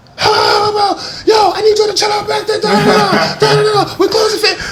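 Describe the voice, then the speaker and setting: A man talks at a fairly quick pace in an energetic tone. Noticeable background noise and audible room echo surround his voice. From Rhode Island. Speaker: DJ and radio personality. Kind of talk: casual chat. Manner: loud, sounds like yelling; hyper, energetic.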